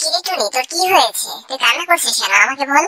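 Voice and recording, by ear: At a fairly quick pace, the speaker uses a cartoonish character voice. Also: female-sounding voice, high pitch for a woman.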